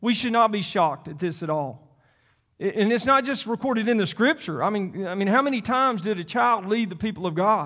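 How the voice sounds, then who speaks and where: A man with a Southern US accent talks at a fairly quick pace in a high voice, bright and sharp in tone, with lively intonation. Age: 50s. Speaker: pastor. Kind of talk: sermon. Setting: church. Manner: halting.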